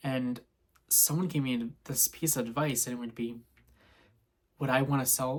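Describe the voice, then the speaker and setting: A somewhat breathy delivery at a moderate pace, marked by long, frequent pauses. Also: man. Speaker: vlogger. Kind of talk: personal vlog monologue.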